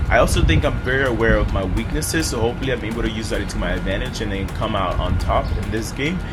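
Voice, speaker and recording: Speech races at a very fast pace with hardly any pauses, over background music and audible room echo. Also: man. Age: 20s. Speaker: reality game contestant, student. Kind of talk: self-introduction to camera.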